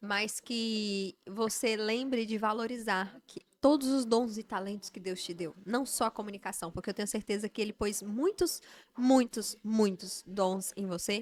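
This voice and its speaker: Here a woman with a normal speaking voice and fairly high pitch speaks at a fairly slow pace with ordinary pitch variation. The recording is very clean, the background silent. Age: 30s. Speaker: podcast host. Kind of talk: interview. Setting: live event.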